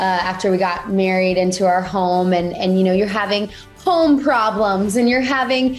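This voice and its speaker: A woman speaks over faint music in the background. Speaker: interview guest. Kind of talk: interview answer. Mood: warm, cheerful. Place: home room. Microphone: video call.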